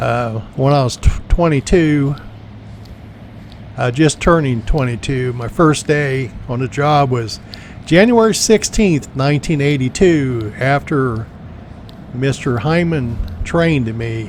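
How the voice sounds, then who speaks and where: A medium-pitched man talks at a very slow pace with lively intonation and long, frequent pauses. Noticeable background noise runs underneath. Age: 60s. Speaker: cemetery tour video host and insurance agent. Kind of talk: tour narration.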